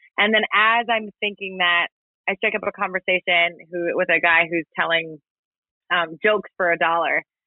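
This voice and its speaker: Her voice sits at a medium pitch. The woman's intonation stays flat and monotone. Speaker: podcaster. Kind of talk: casual chat. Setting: live online audio room. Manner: chatty.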